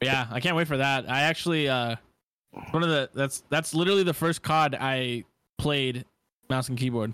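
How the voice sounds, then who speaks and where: Here a man speaks at a moderate pace with a fairly high pitch and ordinary pitch variation. His tone is bright and sharp, his loudness very even, and the sound dry and close with no echo. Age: 20s. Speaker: gamer / streamer guest. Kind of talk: casual chat. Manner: halting, many fillers.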